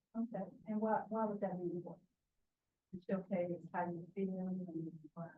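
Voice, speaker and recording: A woman with a Southern US accent speaks in a medium pitch with monotone, flat intonation and long, frequent pauses. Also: moderate pace. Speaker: writing center instructor. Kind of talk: classroom workshop. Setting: classroom with students. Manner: interactive, encouraging.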